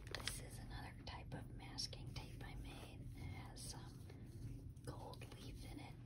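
Someone talks at a fairly slow pace over loud background noise. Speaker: journal maker. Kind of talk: ASMR whisper show-and-tell.

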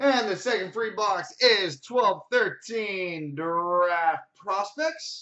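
The speech moves at a very slow pace. The background is quiet. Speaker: sports card break host. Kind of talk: card break commentary, rattling off hits. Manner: repeats each name twice for emphasis. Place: shop. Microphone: webcam.

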